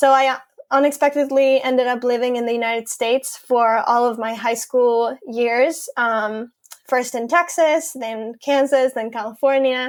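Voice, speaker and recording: The speaker has a Spanish accent and a moderate pace. Intonation stays fairly even. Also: woman. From Mexico City, Mexico. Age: 20s. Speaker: environmental field organizer. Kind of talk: interview. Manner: hesitant, many fillers.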